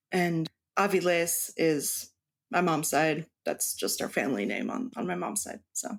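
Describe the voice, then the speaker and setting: A woman speaks at a fairly slow pace with a fairly low pitch and vocal fry. Her pitch swings very widely. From Mexico. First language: Spanish. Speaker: cross stitch designer. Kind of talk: interview.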